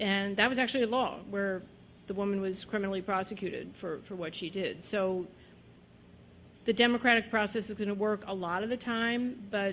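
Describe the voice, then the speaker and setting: A woman's ordinary speaking voice at a medium pitch, with fairly even intonation at a moderate pace, on a very clean recording with a silent background. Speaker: judge. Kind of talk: lecture Q&A answer. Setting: lecture hall with audience.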